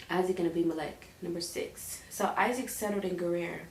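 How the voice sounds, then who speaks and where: Amid noticeable background noise and audible room echo, a woman speaks at a medium pitch and a fairly slow pace with fairly even intonation. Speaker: Bible reading vlogger. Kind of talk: casual chat; reading aloud. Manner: halting, stutters and repeats while reading.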